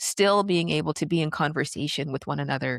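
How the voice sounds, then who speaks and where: Recorded with a dry, close sound and no echo, a woman speaks fairly quickly with vocal fry and lively intonation. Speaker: filmmaker and podcast host. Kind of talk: interview conversation. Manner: halting.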